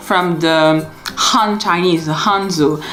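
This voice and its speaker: Music plays in the background as a woman talks, with audible echo in the room. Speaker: vlogger. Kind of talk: casual vlog talk.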